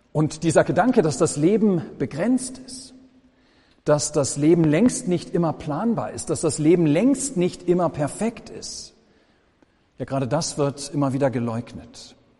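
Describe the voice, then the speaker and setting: A man with a fairly high pitch and a dark, mellow tone speaks with very wide pitch swings. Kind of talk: sermon.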